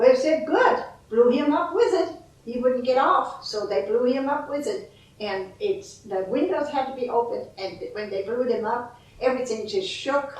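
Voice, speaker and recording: With a German accent, a woman speaks at a high pitch, her voice moving in very wide pitch swings. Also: moderate pace. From Bad Reichenhall, Germany. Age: 80s+. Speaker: World War Two eyewitness. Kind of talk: interview answer.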